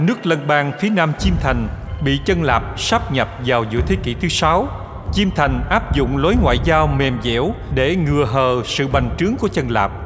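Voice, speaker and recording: A man speaks fairly slowly at a fairly high pitch, with lively intonation and very even loudness. Noticeable background noise is present. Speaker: audio documentary narrator. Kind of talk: history documentary narration. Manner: formal, measured, steady storytelling pace.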